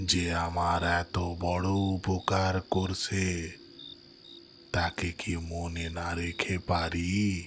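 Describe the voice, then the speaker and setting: This is a put-on character voice at a very slow pace. Background noise is clearly heard. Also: man. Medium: audio drama.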